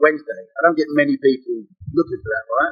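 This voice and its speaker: With music playing in the background, a man speaks at a fairly quick pace in an English accent. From London, England. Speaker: shirt seller, shop owner. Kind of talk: casual podcast chat.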